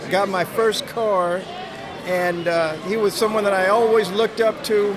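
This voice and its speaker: Over noticeable background noise and audible room echo, a man speaks at a fairly slow pace in a high pitch with very even loudness. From Los Angeles. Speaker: longtime friend of the barber. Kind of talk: interview. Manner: halting, repeats words.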